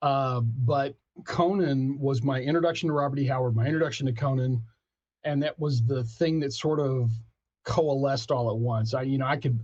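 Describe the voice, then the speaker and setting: A man with an American accent speaks at a moderate pace, his loudness very even. His voice is somewhat breathy. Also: medium pitch for a man. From Texas, Abilene. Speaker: author and pop culture critic. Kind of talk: interview. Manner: animated.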